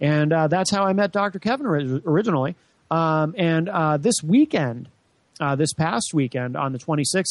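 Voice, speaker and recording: A man speaks with lively intonation in an American accent at a moderate pace, the sound dry and close with no echo. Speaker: radio host. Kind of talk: live political talk radio. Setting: studio. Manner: animated, raises voice on politics.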